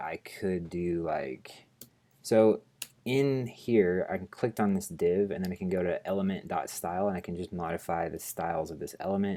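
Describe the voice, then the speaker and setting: A man mumbles at a moderate pace in a very deep, low voice with a dark, mellow tone. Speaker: programming tutorial host. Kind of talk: screencast coding tutorial. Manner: mumbling while thinking aloud; casual, hesitant with fillers.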